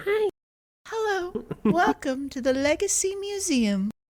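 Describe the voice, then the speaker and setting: Someone puts on a character voice in falsetto, speaking at a fairly slow pace. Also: man, extremely high pitch for a man. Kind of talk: polite welcoming.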